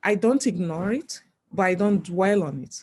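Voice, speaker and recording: The woman's voice is somewhat breathy. Her pitch sits in the medium range. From Nigeria. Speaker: geology professor. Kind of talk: interview.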